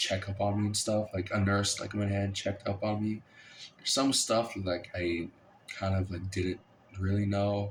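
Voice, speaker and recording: Speaking at a moderate pace with an American accent, a man has a fairly low, somewhat breathy voice and monotone, flat intonation. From Kansas, Lawrence. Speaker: college student vlogger. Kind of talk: casual vlog monologue. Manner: halting, many fillers; rambling, unscripted.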